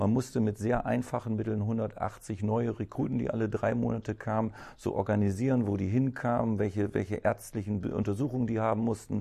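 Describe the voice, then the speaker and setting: A man's fairly low voice with a dark, mellow tone, vocal fry and a fairly quick pace. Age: 50s. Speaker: cleaning company owner. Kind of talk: interview. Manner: hesitant, many fillers.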